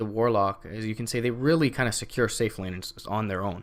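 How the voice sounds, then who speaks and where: On a very clean recording with a silent background, a man of medium pitch speaks at a moderate pace. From Canada. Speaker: esports caster. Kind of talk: live commentary.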